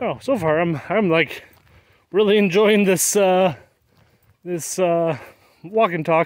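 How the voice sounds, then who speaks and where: Speaking very slowly with long, frequent pauses, a man with an American accent has a high pitch and ordinary pitch variation, the sound dry with no echo and the background quiet. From US Midwest, northern Wisconsin. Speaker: gaming streamer. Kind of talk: casual live-stream chat. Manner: rambling. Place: open country. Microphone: phone near.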